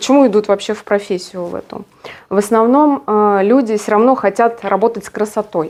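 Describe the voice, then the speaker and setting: At a moderate pace, a woman with a fairly high pitch speaks with fairly even intonation. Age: 50s. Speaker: hairdressing trainer. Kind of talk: monologue talk. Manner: halting, many fillers.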